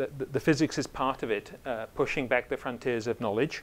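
A man at a moderate pace with ordinary pitch variation. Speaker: invited lecturer. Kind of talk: lecture. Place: hall. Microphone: lapel.

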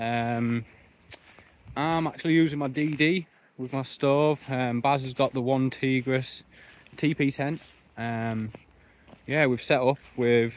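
A man speaks slowly with fairly even intonation and long, frequent pauses. The sound is dry, with no echo. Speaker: outdoor camping vlogger. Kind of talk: casual vlog chat. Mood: relaxed, cheerful. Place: forest. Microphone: phone near.

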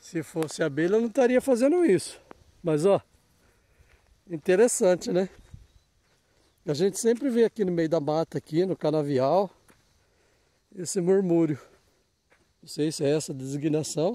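A man speaks at a moderate pace with a high pitch for a man. His long, frequent pauses come through in a dry sound with no echo. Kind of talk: casual vlog chat. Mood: curious, amused. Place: open country. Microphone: phone near.

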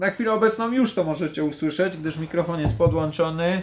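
Pitch variation stays ordinary as a man speaks in a high voice. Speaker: gear reviewer. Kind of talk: casual product test talk. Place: home room. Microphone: camera far.

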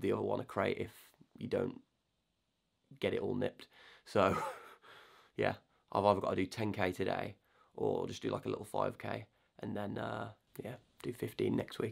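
Moderate pacing against a quiet background, with big jumps in volume and long, frequent pauses. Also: man. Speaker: soldier vlogger. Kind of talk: casual vlog chat. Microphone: phone near.

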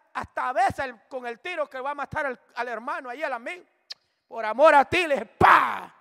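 A man talks in an extremely high pitch with a raised, projected voice. His pace is moderate, and his loudness swings widely. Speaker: preacher. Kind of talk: sermon, Bible study preaching. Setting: church.

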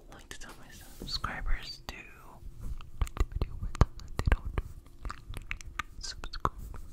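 A man is whispering. He goes at a fairly slow pace. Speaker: ASMR creator. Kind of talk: ASMR trigger words. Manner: whispered. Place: home room. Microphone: studio mic.

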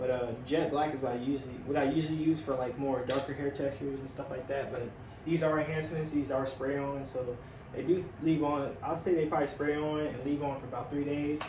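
A man's flat, monotone delivery amid noticeable background noise. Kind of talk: casual vlog chat. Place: home room. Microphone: camera far.

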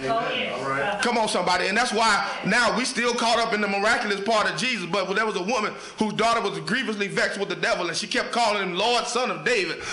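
A raised, projected voice races along at a very fast pace with hardly any pauses and ordinary pitch variation, amid audible room echo. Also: man, high pitch for a man. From Oklahoma City. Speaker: guest preacher. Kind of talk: sermon. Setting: church with congregation. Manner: gets loud, hollers. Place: church. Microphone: camera far.

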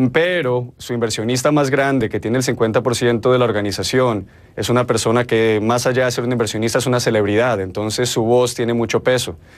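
Here a man speaks with a Colombian accent. His pace is moderate. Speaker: marketing strategist; news guest. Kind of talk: news interview. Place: studio.

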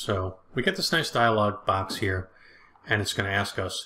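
A fairly low-pitched man with a bright, sharp tone, lively intonation and a moderate pace

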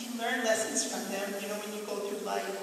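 A woman's voice with strong room echo and light background noise. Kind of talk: onstage tribute speech. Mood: warm, fond, lightly joking. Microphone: pa.

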